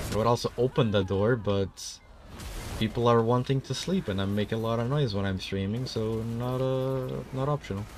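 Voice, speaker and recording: The man's medium-pitched voice moves at a moderate speed, its pitch shifting in an ordinary way. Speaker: gaming streamer. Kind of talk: casual chat. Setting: streaming from a room at home. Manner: loud, strong projection.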